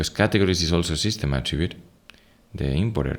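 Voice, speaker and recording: Soft-spoken and fairly quick, a man talks in a Spanish accent. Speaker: software product presenter. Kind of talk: software tutorial screen walkthrough.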